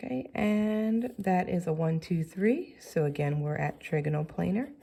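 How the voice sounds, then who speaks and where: A woman with a very deep, low pitch speaks in a somewhat breathy voice with a dark, mellow tone and ordinary pitch variation. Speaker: chemistry teacher. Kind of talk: tutorial.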